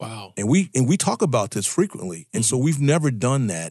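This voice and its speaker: A man with an American accent talks at a very fast pace. The sound is dry and close with no echo, over a quiet background. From Virginia, US. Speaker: guest co-host, life mentor. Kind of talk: casual talk radio conversation. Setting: radio studio. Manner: hesitant, with frequent fillers and repeated words.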